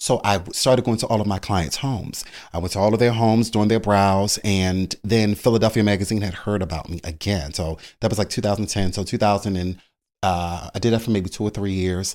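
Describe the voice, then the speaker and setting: On a very clean recording with a silent background, a man speaks in an unremarkable speaking voice, fairly low in pitch, with fairly even intonation. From Baltimore, Maryland. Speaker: brow artist, beauty entrepreneur. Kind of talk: casual interview, storytelling.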